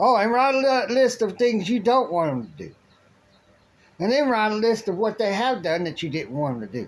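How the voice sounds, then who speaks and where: A man with an American accent talks at a fairly quick pace and high pitch, with lively intonation broken by long, frequent pauses. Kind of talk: political rant monologue. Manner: halting, many restarts.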